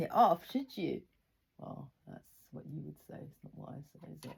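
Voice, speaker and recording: A woman speaking at a moderate pace. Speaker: video diarist sharing personal trauma. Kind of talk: personal testimony monologue. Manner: halting.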